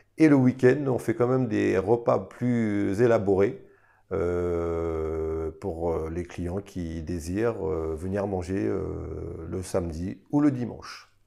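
Against a quiet background, a man with a very deep, low pitch and a dark, mellow tone speaks at a very slow pace with lively intonation. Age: 40s. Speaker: restaurant owner and cook. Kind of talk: interview testimony. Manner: hesitant, many fillers.

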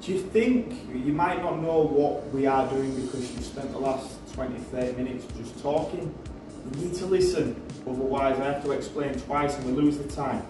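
Faint music plays behind speech that has ordinary pitch variation, a moderate pace, and audible room echo. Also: man. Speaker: personal trainer in sketch. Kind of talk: scripted comedy dialogue. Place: gym. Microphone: camera far.

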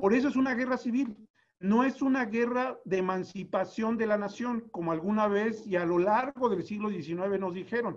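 The background is quiet. Pitch variation is ordinary. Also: man, high pitch for a man, moderate pace. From Dolores Hidalgo, Guanajuato, Mexico. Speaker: historian, academic director. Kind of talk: academic panel discussion. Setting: video call. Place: home room. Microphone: video call.

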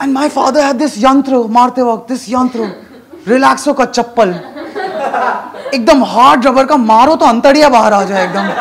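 Against noticeable background noise, a man with an extremely high pitch talks at a fairly slow pace with ordinary pitch variation. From Bengal, India. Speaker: stand-up comedian. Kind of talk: stand-up. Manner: animated. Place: stage. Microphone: handheld.

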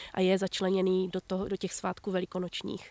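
A woman talks at a fairly quick pace. The sound is dry, with no echo. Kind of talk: interview answer. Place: garden. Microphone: handheld.

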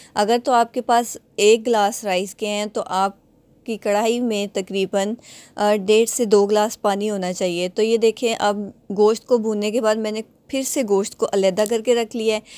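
On a very clean recording with a silent background, a woman speaks with monotone, flat intonation. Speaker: cooking vlogger. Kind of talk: cooking tutorial. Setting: home kitchen. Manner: casual, with filler pauses.

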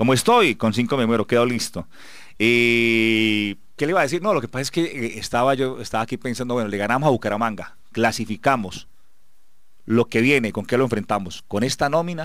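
A man talks at a fairly quick pace with ordinary pitch variation. The sound is dry with no echo, and the background is quiet. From Colombia, Antioquia. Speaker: radio sports show host. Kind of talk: sports radio talk show. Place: studio.

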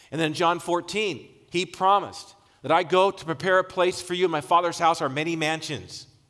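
Against a quiet background, a man's speech moves at a moderate pace. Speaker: preacher. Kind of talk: sermon. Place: church. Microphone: headset.

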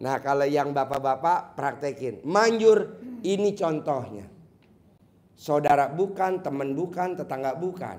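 This man talks at a fairly slow pace with lively intonation. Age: 50s. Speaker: spiritual motivator; presenter. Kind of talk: live Q&A with audience. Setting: hall with live audience. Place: hall. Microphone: handheld.

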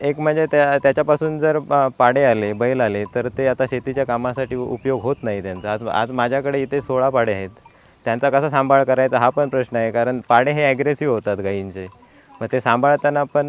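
A man speaks at a medium pitch with ordinary pitch variation, in an ordinary speaking voice. The sound is dry and close, with no echo. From Konkan, Sindhudurg district, Maharashtra. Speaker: cow farmer and ayurvedic product maker. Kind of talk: interview.

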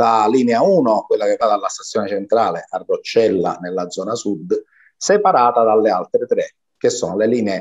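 This man talks at a middling tempo with a quiet background behind him. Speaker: guest. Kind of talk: interview answer explaining slides. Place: home room. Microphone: webcam.

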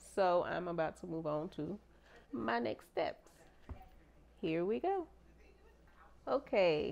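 At a very slow pace, a woman talks with a fairly low pitch. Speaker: home cooking vlogger. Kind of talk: casual vlog chat. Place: kitchen. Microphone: lapel.

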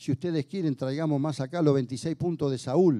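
A man talks at a moderate pace in a dark, mellow tone, with ordinary pitch variation and a quiet background. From Argentina. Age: 60s. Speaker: union leader and legislator; speaker. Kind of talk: speech to an audience. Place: hall. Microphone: handheld.

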